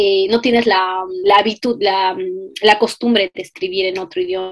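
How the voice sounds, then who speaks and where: A woman's fairly high voice at a moderate pace. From Peru (Cusco, Arequipa). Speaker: postdoctoral researcher and lecturer. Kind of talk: interview. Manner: halting.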